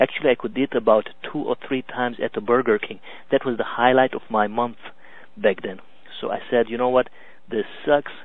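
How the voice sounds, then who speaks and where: A man with a Hungarian accent speaks at a fairly quick pace. His medium pitch shows ordinary variation. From Romania, Hungarian minority. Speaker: business coach. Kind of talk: webinar presentation. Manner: halting, many fillers.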